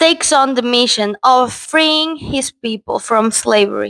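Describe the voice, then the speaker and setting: A Portuguese accent at a fairly slow pace, with ordinary pitch variation and a dry, close sound with no echo. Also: woman. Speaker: film reviewer. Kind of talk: video essay, partly read script.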